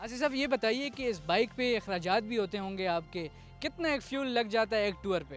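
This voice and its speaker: A man speaks at a high pitch with lively intonation. Music plays in the background. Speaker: TV anchor. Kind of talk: interview questions.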